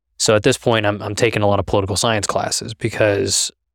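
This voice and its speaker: A man with a Midwestern American accent speaks at a fairly quick pace. The sound is dry and close, with no echo. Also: very clean recording, silent background. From Kansas (Halstead). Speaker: state legislator. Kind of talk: interview.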